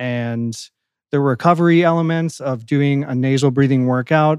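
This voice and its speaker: In a dry, close recording with no echo, a man talks at a moderate pace with fairly high pitch and ordinary pitch variation, a plain, everyday voice. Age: 30s. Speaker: podcast host. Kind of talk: casual chat.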